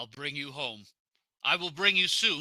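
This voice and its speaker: A man's put-on character voice at a moderate pace. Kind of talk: period stage drama. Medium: audio drama. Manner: forceful, impassioned.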